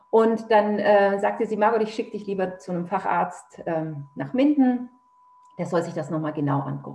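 A woman speaks at a moderate pace in a medium-pitched voice with lively intonation. Noticeable background noise can be heard. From Germany, Nuremberg (Franconia). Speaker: author. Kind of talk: personal testimony in interview.

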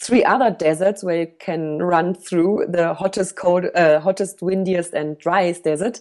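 Speaking fairly slowly with a German accent, a woman uses a fairly low pitch. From Germany. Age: 30s. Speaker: ultra runner. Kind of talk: interview. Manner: halting.

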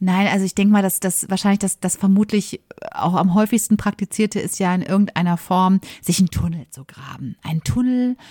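A woman speaks at a moderate pace in a medium pitch, her tone dark, mellow and somewhat breathy. The recording is very clean and dry, close with no echo and a silent background. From Germany, Ruhr area (Bochum). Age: 40s. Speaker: podcast co-host, former press officer. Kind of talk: casual storytelling chat.

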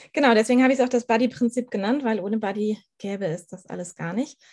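Against a quiet background, a woman talks at a fairly quick pace with a fairly high pitch. It is an ordinary speaking voice with ordinary pitch variation. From northern Germany, Schleswig-Holstein. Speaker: animal communicator. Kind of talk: podcast interview.

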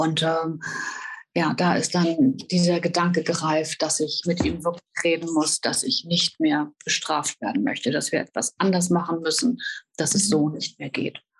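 Somewhat breathy and fairly low in pitch, a woman speaks at a fairly slow pace. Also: ordinary pitch variation. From northern Germany, Hannover. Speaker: professional horse rider and author. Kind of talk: personal testimony in interview. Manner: hesitant, many filler sounds.

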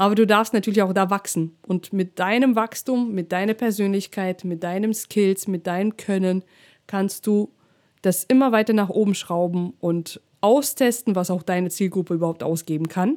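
A woman speaks at a medium pitch and a fairly slow pace with ordinary pitch variation. The recording is very clean and dry, with a silent background and a close sound with no echo. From Russia. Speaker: DJ and business coach, podcast host. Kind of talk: solo podcast monologue, coaching advice.

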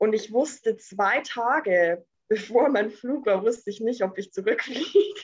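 A woman talks in a plain, everyday voice. Her pitch is fairly high, with ordinary pitch variation. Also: fairly slow pace. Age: 20s. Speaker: entrepreneur. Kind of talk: interview.

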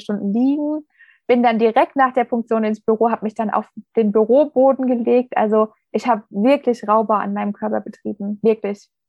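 A woman uses an ordinary speaking voice, fairly high in pitch, and keeps to a moderate pace. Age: 30s. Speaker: former business owner, cardiac arrest survivor. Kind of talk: interview, personal story.

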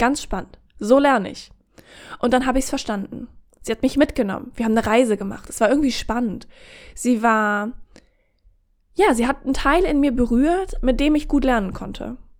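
A woman speaks at a high pitch and a fairly quick pace, with a relaxed tone. Her pitch varies in an ordinary way, and she takes long, frequent pauses. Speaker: podcast host. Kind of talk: casual chat.

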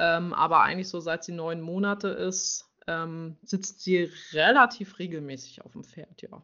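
At a fairly slow pace, a woman speaks in an unremarkable speaking voice, fairly low in pitch with ordinary pitch variation. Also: big swings in loudness. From Mecklenburg-Vorpommern, near Schwerin. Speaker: riding instructor. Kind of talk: interview.

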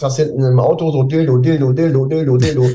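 Very fast, somewhat breathy male speech with a fairly high pitch, a dark, mellow tone and fairly even intonation. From northern Germany, near Hamburg (Pinneberg district). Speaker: DJ and music producer. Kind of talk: interview. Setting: video call.

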